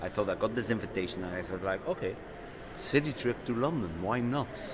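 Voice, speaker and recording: Noticeable background noise is present. The words come at a fairly quick pace. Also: man, lively intonation. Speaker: architect and rally driver. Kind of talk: live interview. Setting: live event at a club venue. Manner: halting, many repetitions.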